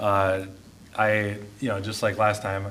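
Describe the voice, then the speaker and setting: A man speaks with fairly low pitch. The room echo is audible. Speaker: mayor. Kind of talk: city council meeting discussion. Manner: relaxed, laid-back; casual, conversational.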